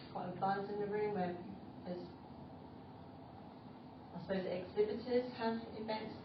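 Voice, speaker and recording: This woman's pitch rises and falls in an ordinary way, with noticeable noise in the background. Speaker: Toastmasters club speaker. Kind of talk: prepared speech to a club audience. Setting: meeting room, recorded on phone. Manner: slow, ad-libbed.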